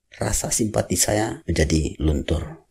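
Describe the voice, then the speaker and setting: A man speaks with a dark, mellow tone and vocal fry. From West Sumatra, Indonesia (Padang, Minangkabau). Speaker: YouTuber. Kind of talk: vlog monologue.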